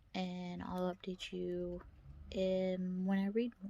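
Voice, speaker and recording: A somewhat breathy voice is heard. Its delivery is very slow. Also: woman. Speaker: book vlogger. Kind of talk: casual vlog. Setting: in a car. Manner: soft-spoken.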